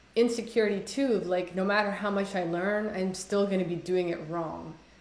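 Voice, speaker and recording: With audible room echo and noticeable background noise, a woman of medium pitch speaks at a fairly quick pace with fairly even intonation. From Somalia. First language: Somali. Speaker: poet. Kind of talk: casual conversation interview. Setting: video call. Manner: halting, many fillers.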